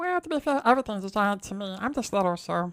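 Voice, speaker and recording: Using a put-on character voice, a woman talks at a very fast pace. Her pitch sits in the medium range and swings very widely. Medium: actual play. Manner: hesitant.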